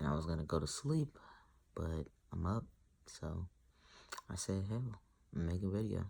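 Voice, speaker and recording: Lively in intonation, a man with a dark, mellow tone and a very deep, low pitch talks at a moderate pace, leaving long, frequent pauses. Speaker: vlogger documenting gender transition. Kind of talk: casual vlog. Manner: casual, filler-heavy.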